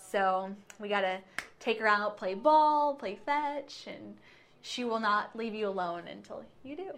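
An ordinary speaking voice from a woman with an American accent, fairly high in pitch and fairly slow, with lively intonation and big swings in loudness. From Clark County, Washington (Ridgefield). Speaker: TV news reporter. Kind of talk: casual interview chat. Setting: TV station studio.

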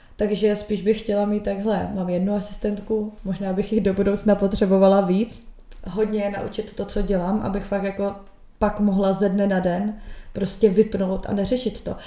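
Speaking in a flat monotone, a woman uses a dark, mellow tone at medium pitch and a moderate pace. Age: 20s. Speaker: social media content creator and marketer. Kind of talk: casual chat.

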